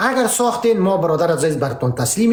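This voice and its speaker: Speaking fairly quickly in an animated tone, a man with a high pitch makes very wide pitch swings, amid noticeable background noise and audible room echo. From Afghanistan (Pashtun). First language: Pashto (speaking Persian). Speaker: political debate host. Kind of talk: heated debate.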